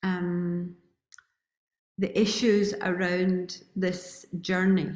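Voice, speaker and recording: Her medium-pitched voice is monotone and flat, and the woman speaks at a very slow pace. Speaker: retreat organizer. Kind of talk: welcome address.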